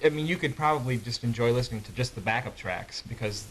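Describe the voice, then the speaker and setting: Speaking at a very fast pace, a man is heard with noticeable background noise. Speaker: a cappella singer. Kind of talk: interview. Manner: halting.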